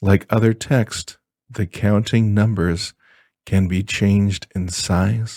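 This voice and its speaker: Very slow in pace, a man talks at a fairly low pitch with fairly even intonation. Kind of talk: sleep talk-down reading of a product manual. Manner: monotone, slow.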